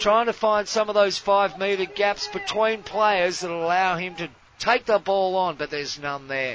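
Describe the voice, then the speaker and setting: Noticeable background noise sits behind a man with a high pitch. He talks fairly slowly with ordinary pitch variation. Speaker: hockey podcast host and commentator. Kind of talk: sports commentary, live play-by-play of a hockey match.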